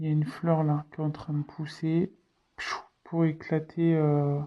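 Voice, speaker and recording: Against a quiet background, a woman speaks with a very deep, low pitch and a dark, mellow tone in a flat monotone. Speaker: tarot card reader. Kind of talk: tarot reading. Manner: slow; hesitant, many fillers.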